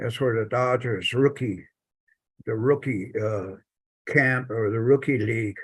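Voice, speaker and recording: A man speaks in an American accent, his voice somewhat breathy and his intonation fairly even, with long, frequent pauses against a quiet background. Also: medium pitch for a man, fairly slow pace. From US Southwest, Navajo Nation. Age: 70s. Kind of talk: personal storytelling in a panel talk. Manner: halting.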